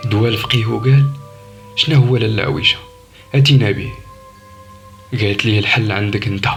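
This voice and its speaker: Over music in the background, a man speaks at a moderate pace and medium pitch with ordinary pitch variation and long, frequent pauses. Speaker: storyteller. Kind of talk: horror story narration.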